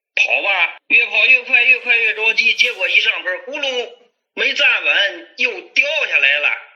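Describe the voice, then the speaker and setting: A man talks at a moderate pace. He speaks with a Hebei accent. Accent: Hebei rural dialect-tinged Mandarin. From Hebei, China. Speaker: childhood friend, business owner. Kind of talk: casual storytelling chat.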